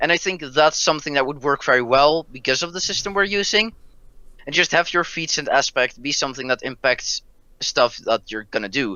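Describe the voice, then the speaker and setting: A fairly quick, lively-sounding man with a Dutch accent and a fairly high pitch. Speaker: roleplay show player. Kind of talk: casual chat.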